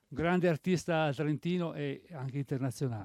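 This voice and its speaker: A man with an Italian accent speaks at a moderate pace with ordinary pitch variation. The sound is dry and close, with no echo. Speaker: festival president. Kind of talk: award ceremony announcing. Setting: stage with audience.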